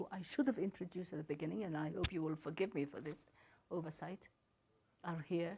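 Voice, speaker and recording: Somewhat breathy, a woman speaks in a dark, mellow tone with ordinary pitch variation. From Somaliland. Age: 80s+. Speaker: diplomat. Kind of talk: press briefing. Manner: formal.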